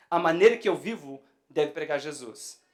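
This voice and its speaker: High-pitched man with lively intonation. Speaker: pastor. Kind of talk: sermon. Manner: gets louder when excited; repeats words, stammering restarts.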